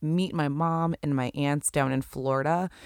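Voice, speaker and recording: A woman's very deep, low voice with a Western New York accent, animated in tone, at a moderate pace, on a very clean recording with a silent background. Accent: Western New York (Inland North) American. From Buffalo, New York. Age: 30s. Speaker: podcast host. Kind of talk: casual solo monologue. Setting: recording at home at night.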